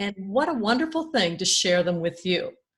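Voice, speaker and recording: On a very clean recording with a silent background, a woman talks at a moderate pace in a somewhat breathy voice. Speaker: grief coach. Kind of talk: podcast-style introduction.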